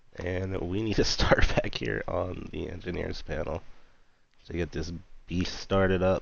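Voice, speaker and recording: Amid audible room echo, a man speaks at a fairly slow pace. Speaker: flight sim streamer. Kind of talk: casual live stream commentary. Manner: casual, animated; quiet, subdued.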